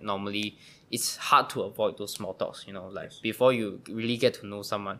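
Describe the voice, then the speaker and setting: Here a man speaks at a fairly quick pace. His tone is bright and sharp. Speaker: podcast host. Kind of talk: casual interview conversation; podcast intro and outro.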